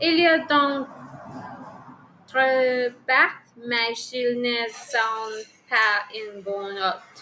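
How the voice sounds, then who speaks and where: Speaking very slowly, a woman uses long, frequent pauses. Her pitch is high. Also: ordinary pitch variation. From Colombia, Villavicencio. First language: Spanish (speaking French). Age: 30s. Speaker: French language learner. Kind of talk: oral exam practice. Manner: halting, many hesitations.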